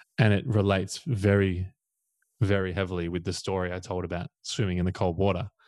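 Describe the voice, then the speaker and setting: Against a quiet background, a man with an Australian accent speaks at a fairly quick pace in a very deep, low pitch with fairly even intonation. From Australia, Victoria coast. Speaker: coach. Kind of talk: casual chat.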